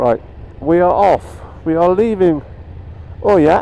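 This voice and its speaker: The speech comes at a fairly slow pace in a dry sound with no echo, with light background noise behind it. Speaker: motorbike rider vlogger. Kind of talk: casual vlog chat. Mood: cheerful, laughing. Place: motorbike. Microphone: helmet.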